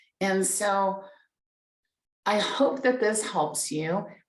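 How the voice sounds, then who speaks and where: A woman's medium-pitched voice at a very slow pace with ordinary pitch variation and audible room echo. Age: 60s. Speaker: life coach. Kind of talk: live stream talk. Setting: live stream on Facebook and Zoom. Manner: halting, repeats words.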